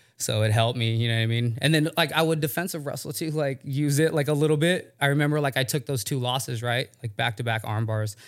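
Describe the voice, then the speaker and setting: A man talks very fast with hardly any pauses, at a medium pitch with ordinary variation. The recording is very clean, with a silent background. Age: 30s. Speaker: MMA fighter. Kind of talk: casual chat.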